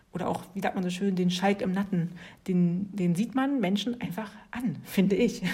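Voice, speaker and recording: Somewhat breathy, a woman talks at a moderate pace with a dark, mellow tone and a warm, relaxed tone, medium pitch and ordinary pitch variation. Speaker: yoga teacher and podcast host. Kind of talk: casual solo talk on yoga philosophy. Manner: warm, relaxed with frequent laughter.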